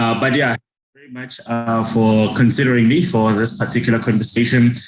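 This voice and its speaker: A man with a medium pitch and fairly even intonation speaks at a fairly quick pace, with big swings in loudness and audible room echo. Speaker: chartered accountant and radio host. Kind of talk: seminar talk. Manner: fast.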